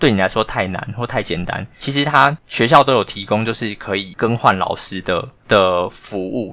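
With ordinary pitch variation, a man's voice has a bright, sharp tone. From Taiwan. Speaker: podcast co-host, former language school student manager. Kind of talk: casual chat.

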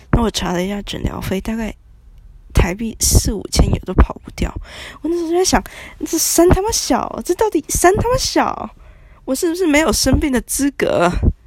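Noticeable background noise sits behind a woman speaking at a moderate pace. Her voice is high and swings very widely in pitch. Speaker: podcaster. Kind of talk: casual monologue.

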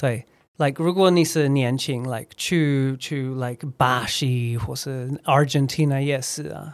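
A man speaks in an unremarkable speaking voice at a medium pitch, with fairly even intonation. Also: fairly slow pace. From Scotland; Edinburgh, Scotland. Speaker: recruiter and former English teacher. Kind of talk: casual interview chat. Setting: in-person studio recording.

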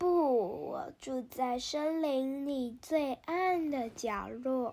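A put-on character voice, female-sounding and high-pitched, stretches words out at a very slow pace. It carries a hissing quality. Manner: hissing through clenched teeth.

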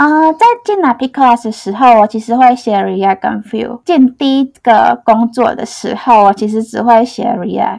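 In an ordinary speaking voice, a woman talks at a fairly slow pace with hardly any pauses, her pitch fairly high and her pitch variation ordinary. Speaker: front-end engineer. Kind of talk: interview. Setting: studio.

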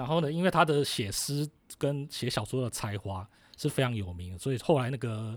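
A man speaks in a normal speaking voice at medium pitch and a moderate pace. The recording is very clean, with a silent background. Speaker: writer and music historian. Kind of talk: interview about music history.

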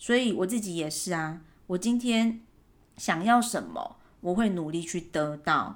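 This woman speaks very slowly in a relaxed tone. Her pitch sits in the middle of her range and varies in an ordinary way. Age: 30s. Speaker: podcast host. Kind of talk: casual monologue.

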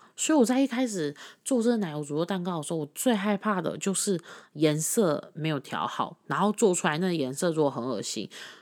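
A woman with a fairly low pitch talks at a fairly quick pace, her pitch swinging very widely, in a very clean recording with a silent background. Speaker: podcast host. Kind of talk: casual monologue.

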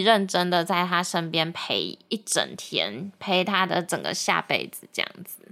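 A woman's fairly low, bright, sharp voice with vocal fry, a fairly slow pace and ordinary pitch variation. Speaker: podcast host. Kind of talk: casual chat.

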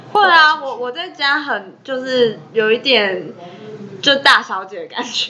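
Against noticeable background noise, a woman uses a raised, projected voice at a high pitch, speaking very slowly with very wide pitch swings and big swings in loudness. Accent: Taiwanese. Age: young. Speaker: podcast co-host. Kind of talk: casual chat.

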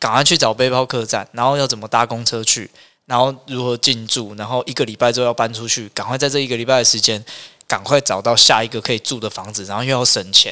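A man's medium-pitched voice with a bright, sharp tone, ordinary pitch variation, and a very fast pace. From Taiwan, Hualien. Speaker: restaurant owner. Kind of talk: casual chat.

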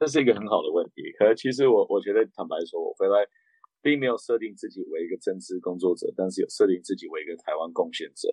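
A man talks at a very fast pace, with big swings in loudness. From raised abroad: Japan, Beijing, Canada. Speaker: political candidate, former interpreter. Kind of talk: interview.

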